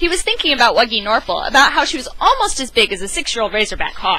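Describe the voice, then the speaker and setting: With music in the background, the voice moves at a fairly quick pace. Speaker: amateur storyteller. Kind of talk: dramatic reading of a children's book. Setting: home recording, gamer headset. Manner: enthusiastic, casual.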